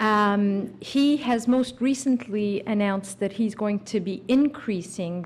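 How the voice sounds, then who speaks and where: Somewhat breathy, a woman speaks at a fairly slow pace and medium pitch, with ordinary pitch variation. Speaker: immigration lawyer. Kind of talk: conference talk.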